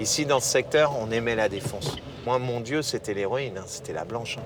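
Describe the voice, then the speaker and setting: A man's lively intonation amid noticeable background noise and audible room echo. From Paris, 18th arrondissement. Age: 40s. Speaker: former drug addict giving testimony. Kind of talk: testimony. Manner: hesitant, many fillers and repetitions.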